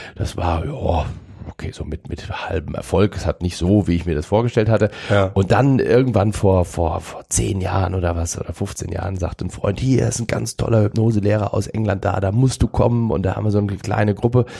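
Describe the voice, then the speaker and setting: A man with a plain, everyday voice, fairly low in pitch, at a fairly quick pace with ordinary pitch variation. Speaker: mentalist. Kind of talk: casual interview.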